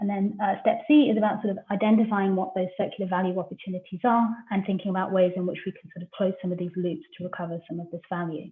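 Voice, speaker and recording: A woman at medium pitch, very fast, with big swings in loudness. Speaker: researcher presenting a business tool. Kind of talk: online masterclass presentation.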